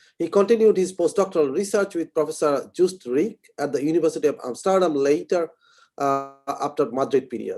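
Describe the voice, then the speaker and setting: A man with an Indian accent speaks at a fairly quick pace in a fairly high pitch. His dark, mellow tone shows ordinary pitch variation. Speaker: session chair introducing speaker. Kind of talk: speaker introduction. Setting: online lecture.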